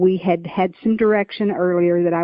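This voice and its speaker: A Southern US accent at a moderate pace. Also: woman. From Oklahoma, US South. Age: 70s. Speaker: author and nurse. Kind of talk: interview.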